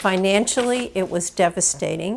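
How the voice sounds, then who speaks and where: A woman speaks at a fairly slow pace. Her voice has vocal fry. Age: 70s. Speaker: retired university teacher. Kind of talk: interview testimony.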